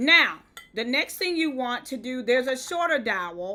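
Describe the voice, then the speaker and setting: A woman's raised, projected voice in a Southern US accent, high-pitched with a bright, sharp tone, at a moderate pace on a very clean recording with a silent background. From US South. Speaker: event decor influencer. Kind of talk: live-stream tutorial. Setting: live stream. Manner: conversational, chatty.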